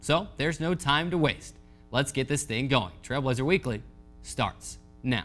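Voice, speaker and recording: Music plays behind a man speaking at a fairly slow pace with a fairly high pitch. His tone is upbeat and energetic, with ordinary pitch variation. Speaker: sports media relations assistant and radio play-by-play announcer. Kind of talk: sports TV show host intro. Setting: television studio. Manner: upbeat, energetic.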